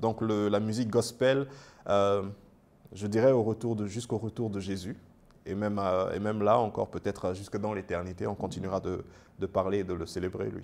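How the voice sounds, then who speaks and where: A man talks at a moderate pace with a fairly low pitch and fairly even intonation. He leaves long, frequent pauses. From Gabon. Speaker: gospel singer; guest. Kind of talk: interview. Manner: halting. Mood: warm, often smiling. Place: studio. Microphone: lapel.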